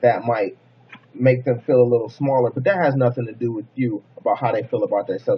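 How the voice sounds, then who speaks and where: A man talks at a fairly quick pace in a medium pitch, his voice somewhat breathy. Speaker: motivational vlogger. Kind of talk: motivational monologue. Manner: fast; casual.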